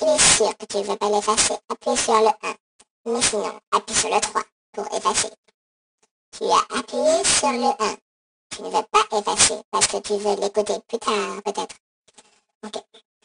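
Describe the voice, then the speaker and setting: A robotic, put-on character voice with a fairly high pitch moves at a moderate pace, with long, frequent pauses. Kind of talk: improvised comic prank voicemail. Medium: solo performance. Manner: rambling, insulting, hesitant with fillers.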